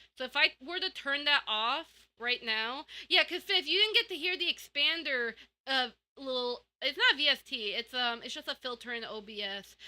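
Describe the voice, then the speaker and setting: The voice is raised and projected, with lively intonation, big swings in loudness and a moderate pace. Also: woman, high pitch for a woman. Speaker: vtuber streamer. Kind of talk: casual live stream chat. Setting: home streaming room. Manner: loud at times; rambling, many fillers. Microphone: new audio settings, expander and limiter filters.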